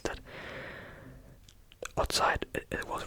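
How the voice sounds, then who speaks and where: Whispering at a very slow pace in a relaxed tone, a man is heard over noticeable background noise. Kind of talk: ASMR real-life storytelling for sleep. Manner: soft-spoken, slow, relaxed.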